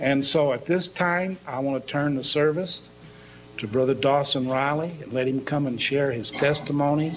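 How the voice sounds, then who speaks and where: Over background music and audible room echo, a man talks at a moderate pace in a fairly high voice with fairly even intonation. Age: 60s. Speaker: pastor. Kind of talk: sermon.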